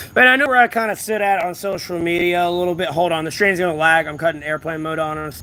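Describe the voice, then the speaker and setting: Loud and very fast with hardly any pauses, a man with an American accent speaks at a high pitch in a bright, sharp tone, with ordinary pitch variation. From US South. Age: 30s. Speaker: homeless livestreamer. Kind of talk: casual livestream chat. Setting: outdoors at a closed strip mall.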